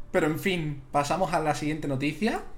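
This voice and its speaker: Audible room echo surrounds a man who speaks at a fairly slow pace with lively intonation. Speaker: video game streamer and podcaster. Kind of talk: casual chat. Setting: live stream. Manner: animated, laughing.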